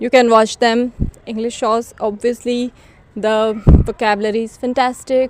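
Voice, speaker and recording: A woman's high-pitched voice with an Indian accent at a moderate pace, against noticeable background noise. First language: Hindi. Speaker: English learning vlogger. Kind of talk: casual vlog talk to camera.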